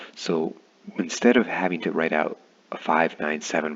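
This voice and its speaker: A man talks at a fairly quick pace with a very deep, low pitch. His pitch varies in an ordinary way, and background noise is noticeable. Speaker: science teacher. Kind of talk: tutorial. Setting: at home. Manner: soft-spoken.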